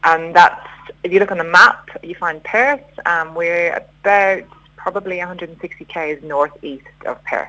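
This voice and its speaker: Her loudness swinging widely, a woman speaks at a moderate pace and a fairly low pitch with ordinary pitch variation, over noticeable background noise. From Ireland, Dublin. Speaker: rural community resident. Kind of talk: radio interview.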